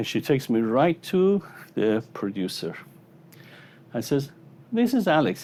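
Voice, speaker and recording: With a non-native accent, a man speaks at a moderate pace. His tone is dark and mellow. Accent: noticeable foreign. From Iran. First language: Persian. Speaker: psychologist and motivational speaker. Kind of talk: motivational keynote speech. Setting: stage with audience. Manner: animated storytelling.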